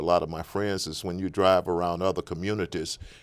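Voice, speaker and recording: On a very clean recording with a silent background, a man with a Southern US accent talks at a very fast pace in a very deep, low voice with monotone, flat intonation. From Natchez, Mississippi. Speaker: political candidate. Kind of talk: interview answer.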